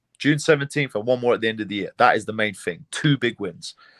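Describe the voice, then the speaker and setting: In a British accent, a man of medium pitch speaks at a fairly quick pace with ordinary pitch variation, in a very clean recording with a silent background and a dry, close sound with no echo. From England, London. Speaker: MMA fighter. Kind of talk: interview. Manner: casual, repeats words often.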